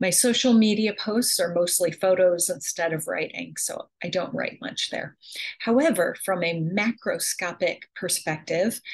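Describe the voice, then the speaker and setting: Against a quiet background, a woman with an American accent speaks at a fairly slow pace. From upstate New York. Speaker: English instructor; course instructor. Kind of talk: self-introduction video. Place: kitchen. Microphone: webcam.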